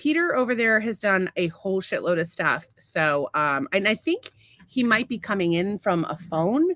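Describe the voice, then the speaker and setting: In a very clean recording with a silent background and a dry, close sound with no echo, a woman with an American accent talks at a moderate pace and medium pitch with very wide pitch swings. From Massachusetts. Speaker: podcast co-host. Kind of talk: casual chat. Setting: studio.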